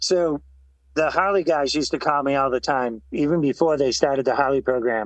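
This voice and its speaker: Using a normal speaking voice, a man talks at a fairly quick pace and fairly high pitch with ordinary pitch variation, the sound dry and close with no echo. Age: 60s. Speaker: retired motorcycle racer. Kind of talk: podcast interview.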